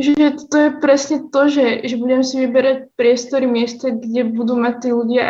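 A woman's high voice moves at a fairly slow pace. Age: young. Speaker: university student. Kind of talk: casual interview. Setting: video call.

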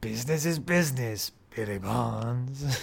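A man in a put-on character voice, medium in pitch, at a moderate pace. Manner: creepy, sinister.

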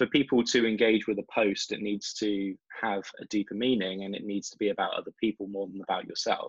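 Speaking at a moderate pace with an English accent, a man comes across in a dry, close sound with no echo. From England. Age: 20s. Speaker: marketing director. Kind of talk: podcast interview.

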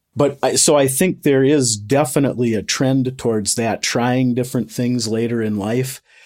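A man with an ordinary speaking voice and medium pitch talks with hardly any pauses and fairly even intonation in a very clean recording with a silent background. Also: moderate pace. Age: 50s. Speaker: master electrician and apprentice instructor. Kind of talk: interview.

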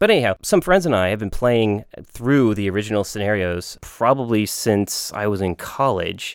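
Speaking at a moderate pace, a man keeps a fairly low pitch with ordinary pitch variation. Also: hardly any pauses. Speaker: board game podcast co-host. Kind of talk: casual chat. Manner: halting, many fillers.

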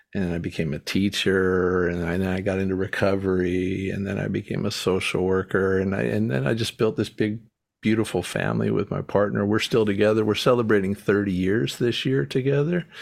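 Recorded very cleanly against a silent background, a man with an American accent speaks at a very deep, low pitch. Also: ordinary pitch variation, fairly quick pace. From North Carolina. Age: 50s. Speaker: podcast host, social worker. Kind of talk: casual chat. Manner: halting.

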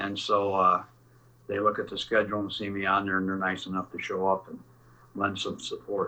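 At a fairly quick pace, a man speaks with a Midwestern American accent. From Northern Illinois. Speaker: musician. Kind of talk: casual chat.

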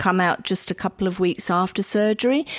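In an Australian accent, the voice shows ordinary pitch variation with a dry, close sound and no echo. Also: woman. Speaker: cancer nurse. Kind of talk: interview answers.

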